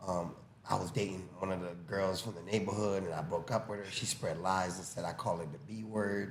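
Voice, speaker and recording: A man with a very deep, low pitch speaks in a Haitian-American accent at a fairly quick pace. His intonation is fairly even, and there is audible room echo. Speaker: boxing coach. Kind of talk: casual chat, storytelling.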